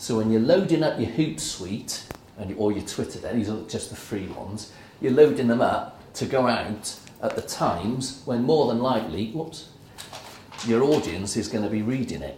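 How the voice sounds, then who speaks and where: Lively intonation from a man at medium pitch, with audible room echo and noticeable background noise. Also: moderate pace. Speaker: workshop presenter. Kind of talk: workshop talk.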